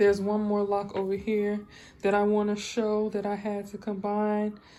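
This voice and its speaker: With audible room echo, a woman speaks at a moderate pace and medium pitch in a dark, mellow tone. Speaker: hair vlogger doing her mom's locs. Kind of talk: casual tutorial vlog. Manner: halting, many fillers.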